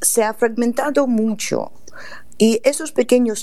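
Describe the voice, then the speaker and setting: With a Russian accent and a dark, mellow tone, the speaker talks at a very slow pace with ordinary pitch variation. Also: woman. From Russia, Saint Petersburg. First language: Russian (speaking Spanish). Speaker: literary agent and translator. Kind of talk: radio interview.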